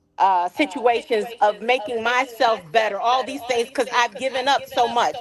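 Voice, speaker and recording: This woman's voice sits high in pitch, with ordinary variation and a moderate pace. Noticeable background noise runs under the clip. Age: 60s. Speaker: caller. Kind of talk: call-in discussion.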